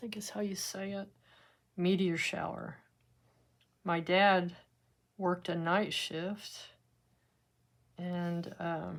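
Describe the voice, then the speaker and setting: Speaking with a Texan accent, a woman uses a fairly low pitch and a relaxed tone, moving at a very slow pace with long, frequent pauses and fairly even intonation. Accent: Texan US Southern. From West Texas. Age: 70s. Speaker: art teacher. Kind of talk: tutorial with casual chat. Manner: relaxed, conversational.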